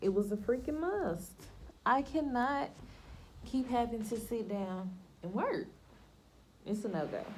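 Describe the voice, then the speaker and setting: A woman speaks at a fairly slow pace with lively intonation and long, frequent pauses. Audible room echo surrounds her voice. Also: fairly high pitch for a woman. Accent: Southern US. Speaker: lifestyle vlogger. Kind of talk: casual chat. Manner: stumbles over words.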